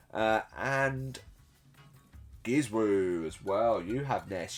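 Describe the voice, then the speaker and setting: Over background music, a man speaks at a very slow pace in a fairly low pitch, with ordinary pitch variation. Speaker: tournament commentator. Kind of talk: live commentary.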